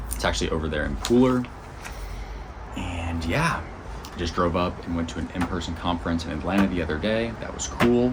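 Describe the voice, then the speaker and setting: Noticeable background noise and audible room echo fill the recording. A man talks at a fairly quick pace. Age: 30s. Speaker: vlogger and magazine publisher. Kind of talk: casual vlog update. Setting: outdoors on a porch. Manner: rambling, casual.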